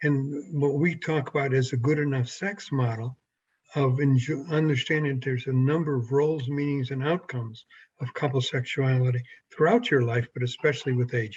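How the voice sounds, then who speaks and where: A man with a fairly high pitch and a somewhat breathy voice talks at a fairly quick pace, his intonation fairly even. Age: 70s. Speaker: sex therapist. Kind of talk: interview.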